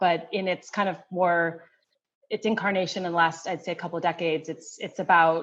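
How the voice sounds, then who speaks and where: A woman speaks in a Western New York accent with a fairly low pitch. The background is quiet, and her intonation is fairly even. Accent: American, Western New York. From US Northeast, Rochester, New York. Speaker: anthropology professor. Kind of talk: interview. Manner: halting, many fillers and restarts.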